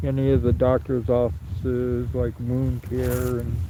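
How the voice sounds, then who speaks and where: A man with an American accent talks at a fairly slow pace and medium pitch, with lively intonation. Background noise is noticeable. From California (Sacramento). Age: 60s. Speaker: livestreamer. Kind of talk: live stream walkaround commentary. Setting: outdoors in snow. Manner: halting, many fillers.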